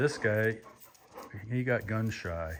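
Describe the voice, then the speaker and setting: The recording is very clean with a silent background, carrying a man's fairly low-pitched voice. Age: 60s. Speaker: hunter. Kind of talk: casual vlog talk. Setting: workshop. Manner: halting.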